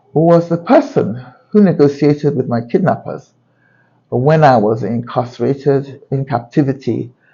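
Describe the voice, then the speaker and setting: The voice is somewhat breathy, moving at a moderate pace. Its pitch variation is ordinary. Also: man. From UK. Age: 60s. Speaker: journalist and YouTuber. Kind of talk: personal vlog monologue. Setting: outdoors on a balcony.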